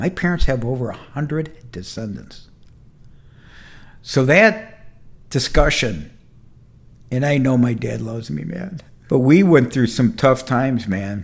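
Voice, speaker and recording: With long, frequent pauses and a fairly slow pace, a somewhat breathy man speaks at medium pitch with very wide pitch swings. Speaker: entrepreneur and mentor. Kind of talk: casual talk to camera. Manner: conversational, candid, heartfelt.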